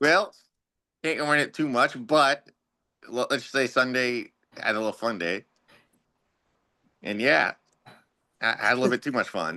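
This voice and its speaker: This man speaks at a moderate pace in a medium pitch, his tone bright and sharp, his intonation lively, with long, frequent pauses throughout. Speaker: sports podcast co-host. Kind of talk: casual chat.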